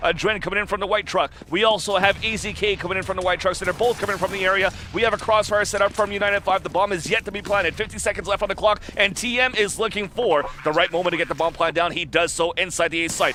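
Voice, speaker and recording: A man's raised, projected voice, high in pitch, at a very fast pace with hardly any pauses, fairly even intonation and noticeable background noise. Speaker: esports commentator. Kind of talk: live commentary. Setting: live event venue near players.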